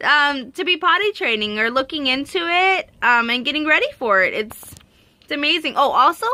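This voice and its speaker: A woman projects a raised, high-pitched voice with a bright, sharp, animated tone and very wide pitch swings. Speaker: parenting vlogger, mother of three. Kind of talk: casual vlog talk to camera. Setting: handheld camera at home in the countryside. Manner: fast; animated, many fillers.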